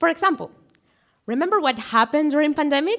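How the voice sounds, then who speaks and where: A woman speaks with a Spanish accent, her pitch swinging very widely. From Guatemala. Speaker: student speaker. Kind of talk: prepared talk.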